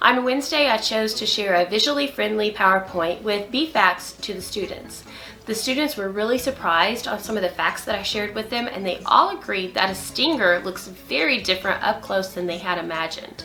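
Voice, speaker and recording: This woman has a medium pitch and lively intonation, speaking at a fairly quick pace with hardly any pauses. Music plays in the background. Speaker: early childhood teacher. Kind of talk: tutorial.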